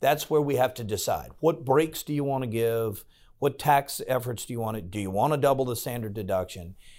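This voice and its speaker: With an American accent, a man talks at a fairly quick pace in a plain, everyday voice, medium in pitch with ordinary pitch variation, on a very clean recording with a silent background. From Virginia, Farmville (Southside). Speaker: state senator. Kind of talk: interview.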